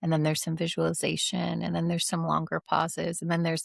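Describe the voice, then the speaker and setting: The sound is dry and close, with no echo. The recording is very clean, with a silent background. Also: woman. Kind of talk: casual interview chat. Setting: podcast interview. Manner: fast.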